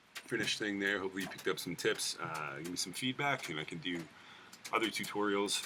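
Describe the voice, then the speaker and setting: Speaking at a very fast pace, a man with a fairly low pitch uses ordinary pitch variation. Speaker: spray paint artist. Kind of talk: tutorial. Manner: soft-spoken; casual.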